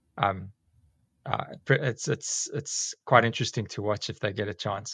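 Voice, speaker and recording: Here a man speaks with a South African accent. His intonation stays fairly even. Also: very clean recording, silent background. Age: 40s. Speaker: teacher and snake catcher. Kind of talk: casual interview chat. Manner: rambling, with many fillers.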